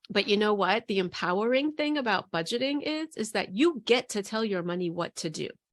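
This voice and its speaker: Fairly high-pitched woman with a New York accent, animated tone and lively intonation, at a fairly quick pace with hardly any pauses, on a very clean recording with a silent background. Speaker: money coach. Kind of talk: interview.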